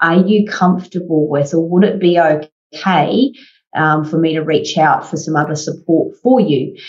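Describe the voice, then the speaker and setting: A plain, everyday voice from a woman, fairly low in pitch, at a moderate pace with ordinary pitch variation. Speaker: podcast host. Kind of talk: interview conversation.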